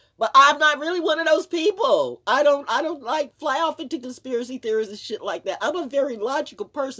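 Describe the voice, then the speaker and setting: Over a quiet background, a woman uses a raised, projected voice with lively intonation at a fairly quick pace. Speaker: vlogger. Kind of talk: casual vlog chat, opinion rant. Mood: indignant, emphatic. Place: home room. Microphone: phone near.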